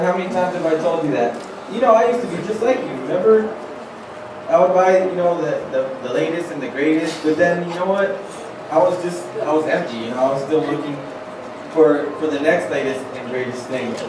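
A man speaks fairly quickly, with audible room echo and noticeable background noise around him. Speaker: skit actor. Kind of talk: acted dialogue in a church skit. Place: stage.

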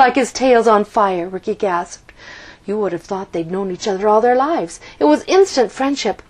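What you hear is an unforced reading voice.

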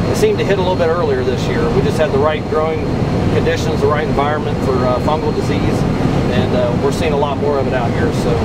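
Loud background noise sits under a man talking at a very fast pace. His pitch variation is ordinary. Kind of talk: interview answer. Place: farm machine. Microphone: camera far.

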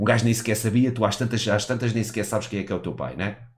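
Speaking at a very fast pace, a man with a fairly low, somewhat breathy voice keeps an animated tone. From Portugal. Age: 30s. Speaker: gaming streamer. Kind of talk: live stream commentary. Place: home room. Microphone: headset.

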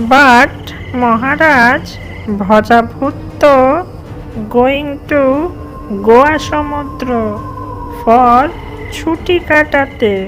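A cartoonish character voice drawls at a very slow pace over clear background noise. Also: female-sounding voice, high pitch for a woman. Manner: sycophantic, broken English mixing.

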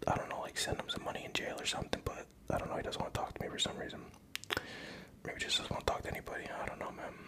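A man whispering. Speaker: ASMR creator. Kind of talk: casual talk to camera. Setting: home video, drinking Hennessy. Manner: soft-spoken, rambling. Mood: reflective, personal story. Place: home room. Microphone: studio mic.

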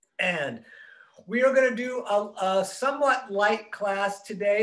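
Over a quiet background, a man with an American accent talks with lively intonation. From US Midwest. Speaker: yoga instructor. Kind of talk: guided yoga class. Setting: online video class. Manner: casual. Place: home room. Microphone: webcam.

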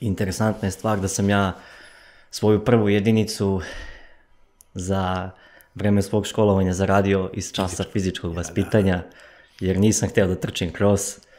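Long, frequent pauses break up a man's speech. He goes at a fairly slow pace with monotone, flat intonation. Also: fairly low pitch for a man. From eastern Serbia, village near Golubac; Serbia. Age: 20s. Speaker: runner, athlete; podcast guest. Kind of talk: casual interview. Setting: studio. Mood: calm, reflective. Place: studio. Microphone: studio mic.

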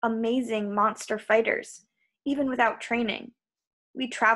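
With the background quiet, the speaker reads aloud in a natural voice, keeping the intonation fairly even.

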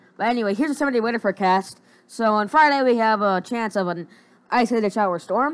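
A woman talks very fast in a fairly high voice. Her intonation is lively. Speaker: weather forecaster. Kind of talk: weather report. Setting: screen-recorded video commentary. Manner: informal, conversational, unscripted; halting, with fillers and repeated words.

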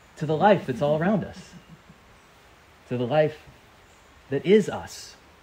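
Speech comes at a moderate pace over noticeable background noise. Loudness swings widely, while pitch variation stays ordinary. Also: man, fairly high pitch for a man. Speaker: priest preaching to camp. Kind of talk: sermon to children at a church camp.

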